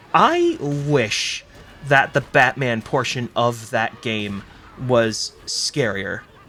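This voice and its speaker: A man's medium-pitched voice with an American accent, very slow pace and fairly even intonation, over noticeable background noise. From Massachusetts. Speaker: gaming commentator. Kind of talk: let's play commentary. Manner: casual, with filler words.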